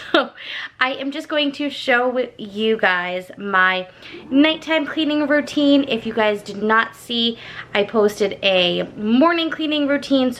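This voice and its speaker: Over noticeable background noise, a woman talks at a high pitch with lively intonation and a fairly slow pace. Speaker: lifestyle vlogger. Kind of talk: casual vlog narration.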